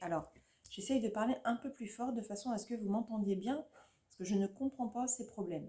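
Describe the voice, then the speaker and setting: Her voice is fairly high in pitch with a dark, mellow tone and ordinary pitch variation, the speaker being a woman. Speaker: YouTuber, adult colouring hobbyist. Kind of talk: casual vlog chat. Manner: speaking louder than usual; hesitant, many fillers. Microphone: viewers struggle to hear her, quiet sound.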